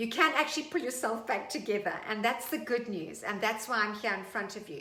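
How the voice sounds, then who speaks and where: A woman talks at a fairly quick pace with lively intonation and a fairly high pitch. Audible room echo and noticeable background noise are present. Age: 50s. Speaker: fitness instructor. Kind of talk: tutorial. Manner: animated.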